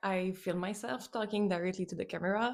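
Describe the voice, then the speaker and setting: A woman speaks with a non-native accent at a medium pitch, her tone dark and mellow and her intonation fairly even. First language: not English. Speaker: artist and journaling vlogger. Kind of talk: casual vlog talk to camera. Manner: halting, frequent fillers.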